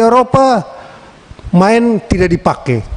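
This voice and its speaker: Over noticeable background noise, a man with a Timorese accent speaks slowly-ish and high-pitched, his pitch varying in an ordinary way, at a fairly slow pace. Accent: eastern Indonesian (Timor). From Timor, East Nusa Tenggara, Indonesia. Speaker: member of parliament. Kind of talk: parliamentary hearing speech. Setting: meeting room microphone. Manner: animated, lively.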